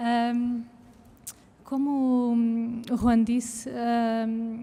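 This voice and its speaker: A soft-spoken woman talks with a fairly high pitch. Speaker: arts educator. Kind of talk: public conversation. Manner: halting, many fillers.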